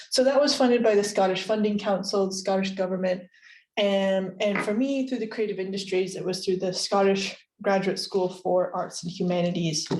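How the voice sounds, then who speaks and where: In an American accent, a woman with an unremarkable speaking voice talks at a moderate pace with fairly even intonation. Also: medium pitch for a woman. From United States. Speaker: creative industries researcher. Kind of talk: lecture.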